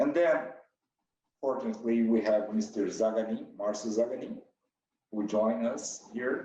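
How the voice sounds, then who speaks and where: With a Brazilian accent, a man speaks in a medium pitch with a dark, mellow tone. His intonation is fairly even, broken by long, frequent pauses. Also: moderate pace. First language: Portuguese. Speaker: company president. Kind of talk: interview. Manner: halting.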